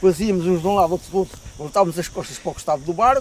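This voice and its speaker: There is noticeable background noise behind this recording. A man with a high pitch speaks at a very fast pace. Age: 80s+. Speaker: retired boat caulker and river boatman. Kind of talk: interview reminiscence. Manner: halting, with repetitions.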